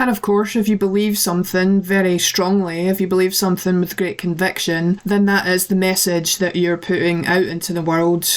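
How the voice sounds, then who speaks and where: A woman's monotone, flat delivery at a moderate pace over noticeable background noise. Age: adult. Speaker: podcaster. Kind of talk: personal monologue.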